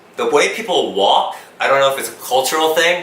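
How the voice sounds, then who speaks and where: A man with an American accent at a fairly quick pace, amid noticeable background noise and audible room echo. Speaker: YouTuber. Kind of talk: Q&A video. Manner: fast; loud.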